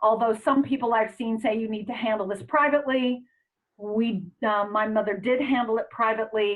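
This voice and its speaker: In an ordinary speaking voice, a woman speaks at a medium pitch with ordinary pitch variation. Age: 60s. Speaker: astrologer and conference organizer. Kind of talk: online town hall discussion.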